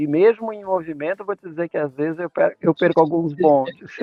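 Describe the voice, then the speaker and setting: This man's voice sits high in pitch. He talks at a moderate speed. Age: 60s. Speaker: organizational development expert. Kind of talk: podcast interview.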